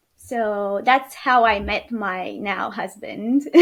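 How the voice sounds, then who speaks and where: Someone with a Romanian accent speaks at a very slow pace. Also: woman. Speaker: podcast guest, new mother. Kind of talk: interview, personal birth story. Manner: hesitant, many fillers.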